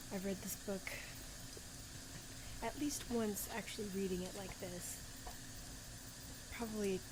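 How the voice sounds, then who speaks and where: Soft-spoken and fairly slow, a woman talks in a medium-pitched voice. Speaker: ASMR and astrology video creator. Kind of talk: ASMR soft-spoken talk and book reading.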